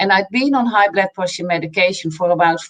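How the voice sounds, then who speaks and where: A woman speaks with a slight Dutch accent. Her pitch is medium, with ordinary pitch variation. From Netherlands. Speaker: nutrition coach. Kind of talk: interview.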